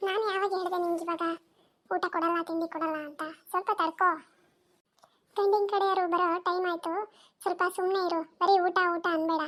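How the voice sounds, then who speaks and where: A woman's cartoonish character voice, extremely high-pitched, monotone and flat, at a moderate pace. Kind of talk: comic cartoon acting. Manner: scolding, impatient.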